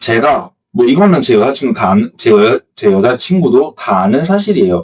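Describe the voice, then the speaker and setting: A man's medium-pitched voice at a moderate pace, very even in loudness, with very wide pitch swings. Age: 20s. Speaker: blogging coach YouTuber. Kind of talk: casual talk to camera. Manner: halting, self-correcting.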